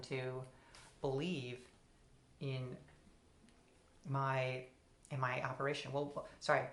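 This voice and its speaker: With audible room echo, a woman speaks in a very deep, low pitch and a monotone, flat intonation. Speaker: philosophy video essayist. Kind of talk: solo philosophical talk. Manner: halting, with repetitions and fillers.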